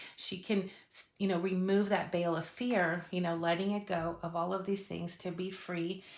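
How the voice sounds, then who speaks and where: A woman talks at a moderate pace at a medium pitch, in a plain, everyday voice. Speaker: tarot reader. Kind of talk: tarot reading monologue. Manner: casual, many fillers.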